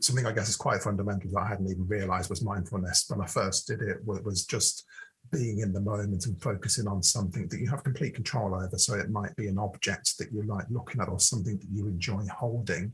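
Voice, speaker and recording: A man with a British accent, fairly low in pitch and somewhat breathy, talking at a very fast pace with hardly any pauses and ordinary pitch variation. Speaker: podcast co-host. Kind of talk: casual chat.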